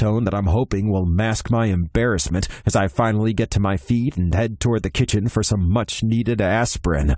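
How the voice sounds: Pitch varies in an ordinary way. The voice is a natural reading voice.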